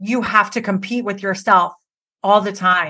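A loud, animated woman's voice at medium pitch, bright and sharp in tone. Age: 40s. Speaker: hair stylist and educator. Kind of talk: casual interview chat.

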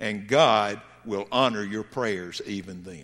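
This man speaks with a Southern US accent. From US South. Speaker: pastor. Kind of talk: sermon. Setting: church. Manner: halting.

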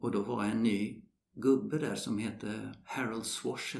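Amid audible room echo, a man with a fairly low pitch speaks with vocal fry and fairly even intonation. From Sweden. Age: 70s. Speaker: retired golf professional. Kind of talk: interview. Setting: golf club.

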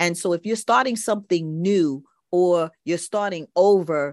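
A woman speaks fairly slowly at a fairly low pitch with ordinary pitch variation, in a normal speaking voice. The background is quiet, and the sound is dry and close with no echo. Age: 60s. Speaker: podcast host. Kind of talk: solo podcast monologue.

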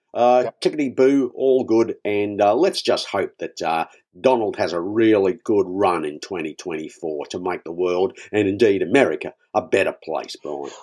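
The recording is very clean and the background is silent. A man talks in a fairly low pitch with an Australian accent. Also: lively intonation, moderate pace. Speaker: comedy podcast host. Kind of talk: casual comedic banter.

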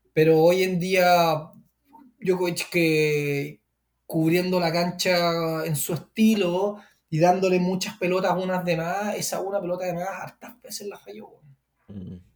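A man with a Chilean accent speaks at a fairly slow pace in a fairly high voice. His intonation is fairly even, though his loudness swings a lot. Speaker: tennis podcast co-host. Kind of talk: casual chat.

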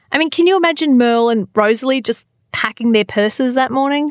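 In an Australian accent, a woman talks at a high pitch and a moderate pace with lively intonation, in a dry, close sound with no echo. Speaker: podcast host. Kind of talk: casual chat. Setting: studio. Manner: animated.

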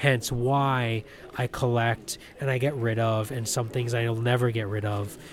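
A man talks at a medium pitch. Noticeable background noise runs under his voice. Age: 30s. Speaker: toy collector. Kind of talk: interview.

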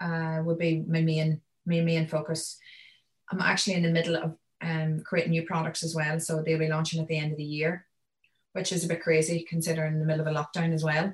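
A woman's somewhat breathy voice, monotone and flat, at a fairly quick pace. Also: fairly low pitch for a woman. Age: 30s. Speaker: entrepreneur and speaker. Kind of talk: casual interview. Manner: fast talker.

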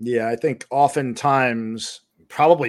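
The recording is very clean with a silent background. A man speaks at a medium pitch with ordinary pitch variation. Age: 40s. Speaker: podcast co-host. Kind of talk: casual chat.

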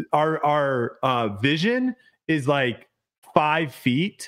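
An animated man speaks at a fairly high pitch. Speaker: disc golf podcast host. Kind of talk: casual chat. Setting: video call.

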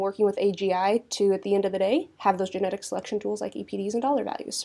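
A woman talks at a fairly quick pace with a dark, mellow tone, medium pitch and ordinary pitch variation. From Kansas (Southeast). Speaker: cattle breed association director. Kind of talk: interview.

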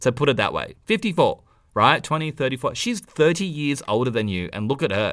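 A man with fairly high pitch and vocal fry, animated in tone, very wide pitch swings, a fairly quick pace, and a very clean recording with a silent background. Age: 30s. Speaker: podcast co-host. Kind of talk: casual chat.

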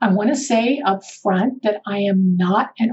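Somewhat breathy, the woman's medium-pitched voice shows ordinary pitch variation. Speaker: podcast host and behavioral scientist. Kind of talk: solo educational podcast.

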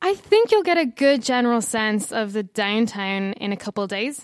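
A woman with a Dublin accent and a fairly high pitch speaks in a very clean recording with a silent background. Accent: Dublin Irish. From Ireland, Dublin. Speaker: expat tech worker. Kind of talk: casual interview.

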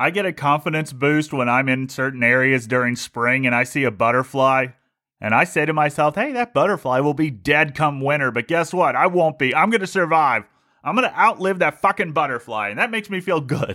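With an American accent, a man speaks at a fairly quick pace and fairly high pitch, with a bright, sharp tone and lively intonation, in a very clean recording with a silent background. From Ohio, Cincinnati. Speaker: podcast host. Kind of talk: comedic monologue.

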